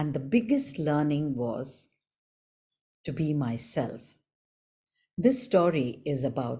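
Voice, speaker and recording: The voice is soft-spoken and somewhat breathy with a dark, mellow tone, moving very slowly with lively intonation. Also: woman. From India. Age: 60s. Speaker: storyteller. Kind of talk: storytelling workshop. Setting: video call. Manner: clear enunciation.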